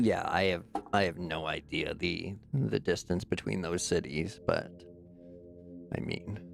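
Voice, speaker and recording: A man with a very deep, low voice speaks at a very slow pace with lively intonation while music plays in the background. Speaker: gaming streamer. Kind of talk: live gameplay commentary. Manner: casual, chatty.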